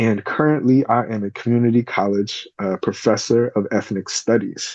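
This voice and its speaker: In an American accent, a man speaks at a moderate pace and medium pitch, with a dark, mellow tone and ordinary pitch variation. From California, Bay Area. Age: 40s. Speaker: podcast host, professor. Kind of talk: solo podcast introduction. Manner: hesitant, many filler ums.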